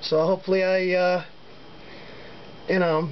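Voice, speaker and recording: The talking proceeds at a moderate pace. Behind it, background noise is noticeable. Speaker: hobbyist lock picker. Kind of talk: casual show-and-tell video. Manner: halting, many fillers.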